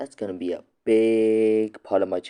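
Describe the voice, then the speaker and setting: A quiet man with a dark, mellow tone at a fairly slow pace. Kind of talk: casual talk to camera. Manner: quiet, hushed; stammering, hesitant.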